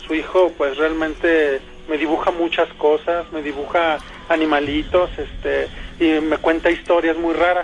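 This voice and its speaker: Against noticeable background noise, a man speaks slowly-ish at a fairly slow pace in a high pitch. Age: 30s. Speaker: caller. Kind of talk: testimony.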